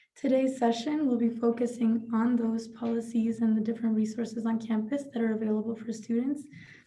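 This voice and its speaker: A woman's fairly high, dark and mellow voice with a non-native accent, moderate pace and monotone, flat intonation. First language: not English. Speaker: student representative. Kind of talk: prepared speech.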